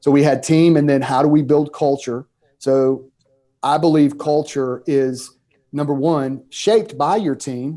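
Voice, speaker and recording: A man's fairly high, dark and mellow voice at a fairly slow pace, with fairly even intonation. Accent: Southern US. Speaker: pastor and author. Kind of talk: podcast interview. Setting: podcast.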